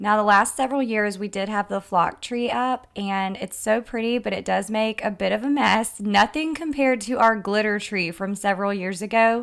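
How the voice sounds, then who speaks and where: In a Southern US accent, a woman with a fairly high voice and ordinary pitch variation talks at a moderate pace in an upbeat tone, with hardly any pauses. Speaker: lifestyle vlogger. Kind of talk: casual vlog narration.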